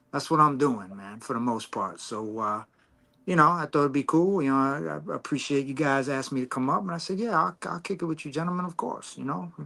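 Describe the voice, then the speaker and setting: On a very clean recording with a silent background, a man with a fairly high pitch talks at a fairly quick pace in a bright, sharp tone with lively intonation. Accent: American. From Long Island, New York. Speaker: hip hop artist. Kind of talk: casual chat.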